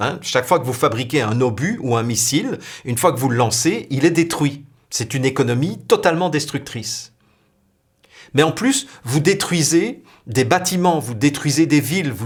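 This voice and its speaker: On a very clean recording with a silent background, a man with a fairly high, somewhat breathy voice speaks at a fairly slow pace with lively intonation. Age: younger than 60. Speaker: spiritual video blogger. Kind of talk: spiritual talk to camera.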